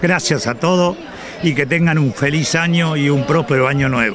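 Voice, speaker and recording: A man speaks at a moderate pace with ordinary pitch variation. The sound is dry with no echo, though background noise is noticeable. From Argentina, Buenos Aires province. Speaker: former resident at reunion. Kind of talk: casual interview. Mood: grateful, warm. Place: open country. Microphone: handheld.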